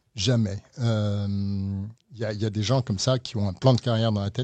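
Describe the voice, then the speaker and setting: A man's normal speaking voice at a medium pitch and moderate pace, over a quiet background. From France. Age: 60s. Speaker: lawyer. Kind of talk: interview.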